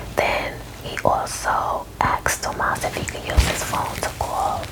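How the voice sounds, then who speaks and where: A woman whispers at a fairly slow pace with noticeable background noise. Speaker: ASMR storyteller. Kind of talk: ASMR movie recap ramble. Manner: whispered.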